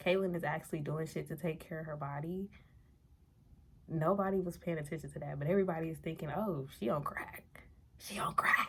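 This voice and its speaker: Soft-spoken and fairly low-pitched, a woman talks at a fairly quick pace with fairly even intonation and long, frequent pauses. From New Orleans, Louisiana. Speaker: vlogger. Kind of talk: casual vlog monologue. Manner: quiet, low volume.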